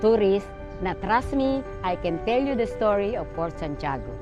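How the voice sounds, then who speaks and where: Over background music and audible room echo, a woman talks fairly slowly at a medium pitch with lively intonation. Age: 80s+. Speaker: senior tour guide. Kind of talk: interview testimony.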